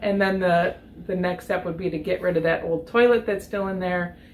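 A woman speaks over light background noise. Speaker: co-host of DIY camper channel. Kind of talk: casual vlog chat. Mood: cheerful, joking. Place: garage.

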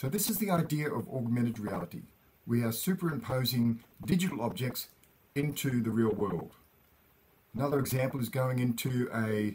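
The speech moves at a moderate pace with long, frequent pauses. Light background noise sits behind it. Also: man. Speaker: educator. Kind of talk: lecture.

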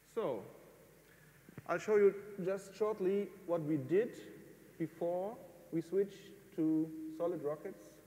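A man with a German accent and a high, dark, mellow voice speaks at a very slow pace with ordinary pitch variation and long, frequent pauses. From northern Germany. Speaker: amateur rocket builder. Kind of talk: lecture. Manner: halting.

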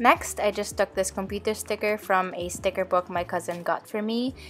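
There is music in the background. A woman speaks at a moderate pace over it. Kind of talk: tutorial voice-over narration.

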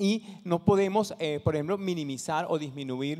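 Over a quiet background, the voice has a dark, mellow tone and moves at a moderate pace. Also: man. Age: 50s. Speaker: social entrepreneur; conference presenter. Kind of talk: talk to an audience; conference talk. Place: hall. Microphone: handheld.

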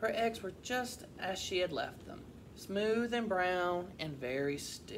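The recording has a natural reading voice with lively intonation.

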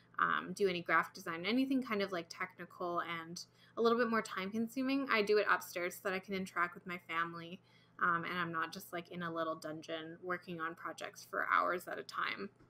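A normal speaking voice, a woman at a fairly low pitch and fairly quick pace, with ordinary pitch variation, big swings in loudness and light background noise. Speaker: comic artist. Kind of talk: tutorial. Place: home room.

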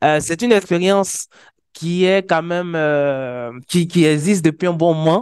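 A man speaks fairly slowly at a high pitch with ordinary pitch variation. The background is quiet, and the sound is dry with no echo. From Côte d'Ivoire. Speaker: wiki community organizer. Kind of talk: conference presentation. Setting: conference stage with audience. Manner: hesitant, many fillers. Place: meeting room.

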